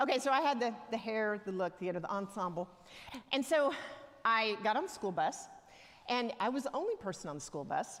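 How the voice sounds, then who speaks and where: A woman's fairly high voice in a strong Southern US accent, at a fairly quick pace with very wide pitch swings and long, frequent pauses. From US South, Alabama (near Tuscaloosa). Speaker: church elder, lay preacher. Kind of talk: sermon. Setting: church. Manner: conversational, humorous storytelling.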